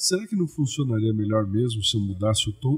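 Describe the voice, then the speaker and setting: A man with a somewhat breathy voice and lively intonation talks at a moderate pace. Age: 60s. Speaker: comedian. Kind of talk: interview. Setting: podcast. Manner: talkative.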